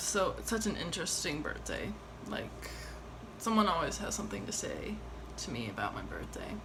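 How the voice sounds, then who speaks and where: A woman at a fairly quick pace with long, frequent pauses, amid audible room echo and noticeable background noise. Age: 20s. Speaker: vlogger. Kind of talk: casual monologue vlog. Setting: at home, late night. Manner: rambling, halting with fillers.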